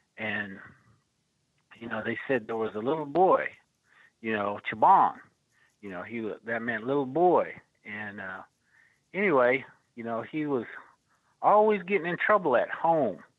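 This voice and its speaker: A man with an American accent speaks fairly slowly at a medium pitch, with very wide pitch swings, big swings in loudness and long, frequent pauses. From Oklahoma. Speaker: storyteller and podcast co-host. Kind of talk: storytelling.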